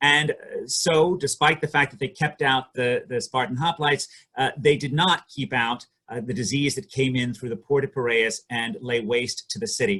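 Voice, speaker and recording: With a bright, sharp tone, a man speaks at a moderate pace in a fairly high pitch, his pitch varying in an ordinary way. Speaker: economics professor presenting research. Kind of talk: academic conference presentation. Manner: hesitant, many fillers.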